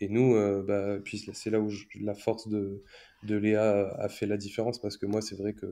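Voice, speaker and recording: Speaking at a fairly slow pace, a man uses a fairly low pitch and a dark, mellow tone with monotone, flat intonation. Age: 20s. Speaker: stay-at-home father. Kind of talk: casual interview. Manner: hesitant, many fillers.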